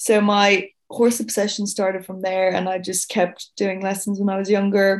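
With a Dublin accent, a woman speaks at a medium pitch in a monotone, flat way. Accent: Dublin Irish. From Ireland, Dublin. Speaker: racing staff operations manager. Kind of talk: interview conversation.

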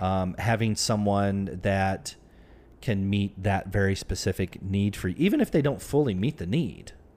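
At a moderate pace, a man with an ordinary speaking voice talks in a fairly low register with ordinary pitch variation. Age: 40s. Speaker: podcast host and dating author. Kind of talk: casual chat.

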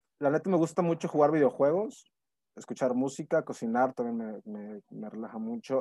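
Over a quiet background, a man with a fairly high pitch and a dark, mellow tone speaks at a moderate pace, the sound dry and close with no echo. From Monterrey, Nuevo León, Mexico. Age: 30s. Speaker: actor. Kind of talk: casual interview. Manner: halting, many repetitions and fillers.

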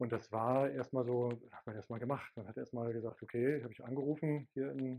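Fairly even intonation and a fairly quick pace in an ordinary speaking voice. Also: man. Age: 50s. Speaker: pastor. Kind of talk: interview.

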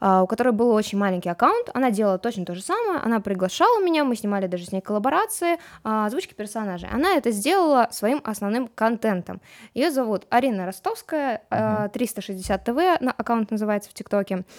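With an ordinary speaking voice, a woman talks fairly quickly at a fairly high pitch with lively intonation, in a very clean recording with a silent background and a dry, close sound with no echo. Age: young. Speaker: TikTok blogger. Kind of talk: casual chat. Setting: studio.

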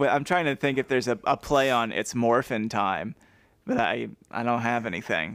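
On a very clean recording with a silent background, a man with vocal fry speaks at a moderate pace with ordinary pitch variation. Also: medium pitch for a man. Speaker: podcast co-host. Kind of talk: casual chat. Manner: quiet.

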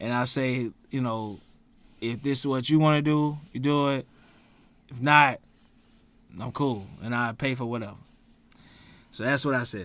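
A man's medium-pitched voice at a moderate pace, fairly even in intonation, with long, frequent pauses. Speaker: podcast host. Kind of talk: casual banter podcast chat.

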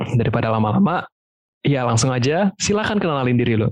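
The voice swings very widely in pitch at a fairly quick pace, with a dry, close sound and no echo. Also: man, medium pitch for a man. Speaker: podcast host. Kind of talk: casual Jakarta slang mixed with English.

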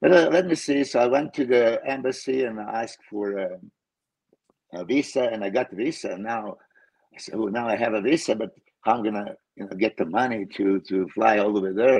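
A man with a Serbian accent talks at a fairly quick pace with lively intonation. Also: medium pitch for a man. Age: 50s. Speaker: pro bodybuilder and coach. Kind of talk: casual chat. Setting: video call.

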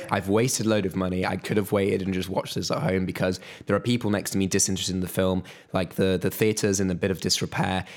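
A man with a British accent speaks very fast in a very deep, low voice, on a very clean recording with a silent background. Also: fairly even intonation. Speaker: podcast co-host. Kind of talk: casual podcast chat.

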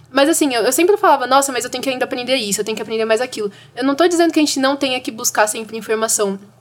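The speech comes at a very fast pace with hardly any pauses and ordinary pitch variation. Noticeable background noise is audible. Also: woman, high pitch for a woman. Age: 20s. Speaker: young climate activist. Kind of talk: casual chat. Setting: studio.

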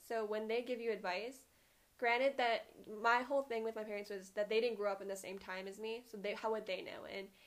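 Here a woman speaks in an ordinary speaking voice, fairly high in pitch, at a moderate pace with fairly even intonation. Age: 20s. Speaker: podcast co-host. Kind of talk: casual chat.

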